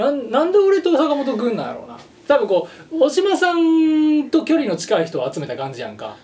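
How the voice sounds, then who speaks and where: Amid noticeable background noise, a man with a Kansai accent speaks at a moderate pace with big swings in loudness. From Japan, Shiga. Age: 30s. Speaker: musician. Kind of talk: casual chat.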